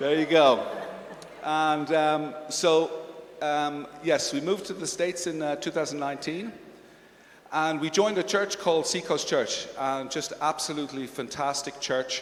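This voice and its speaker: At a moderate pace and with fairly even intonation, a male speaker with a fairly high pitch is heard through audible room echo and noticeable background noise. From Switzerland. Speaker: visiting pastor. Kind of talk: stage interview at church conference.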